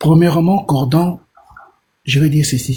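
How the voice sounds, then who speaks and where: The man's voice is somewhat breathy, with a dark, mellow tone. His intonation is fairly even. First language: Portuguese (speaking French). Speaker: caller. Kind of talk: live call-in discussion.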